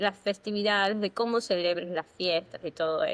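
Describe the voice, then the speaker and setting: A woman's unremarkable speaking voice, medium in pitch, with ordinary pitch variation at a moderate pace. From Ecuador. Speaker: podcast co-host. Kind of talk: casual chat.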